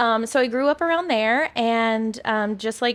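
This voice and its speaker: This is a woman with an American accent and a fairly high pitch. She has an unremarkable speaking voice with ordinary pitch variation. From Arkansas, US South. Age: 30s. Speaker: wedding photographer. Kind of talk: podcast interview.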